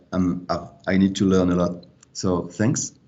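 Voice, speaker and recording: A French accent with audible room echo. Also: man. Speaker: academic. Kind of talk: self-introduction. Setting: video call.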